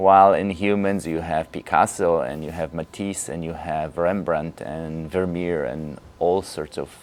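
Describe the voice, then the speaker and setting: Speaking in a Polish accent, a man goes at a fairly slow pace. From Poland. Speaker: Feldenkrais teacher. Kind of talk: lecture.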